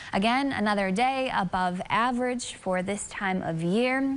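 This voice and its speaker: A woman speaks at a fairly high pitch. Her pitch varies in an ordinary way. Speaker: TV meteorologist. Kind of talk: local TV weather forecast, walking viewers through camera shots and temperature maps. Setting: TV studio. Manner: upbeat, friendly and conversational, repeating 'beautiful' with small filler 'uh's; brisk, steady rundown of town-by-town temperatures. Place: studio.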